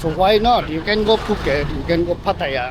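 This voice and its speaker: Noticeable background noise is heard as someone talks at a moderate pace. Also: man. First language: not English. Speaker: travel vlogger. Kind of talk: casual vlog walk-through. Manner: animated.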